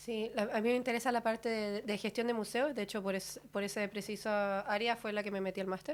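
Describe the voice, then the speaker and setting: With a Chilean accent, a woman talks at a fairly high pitch and a fairly quick pace, with hardly any pauses. Her intonation is monotone and flat. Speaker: master's student. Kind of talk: radio interview.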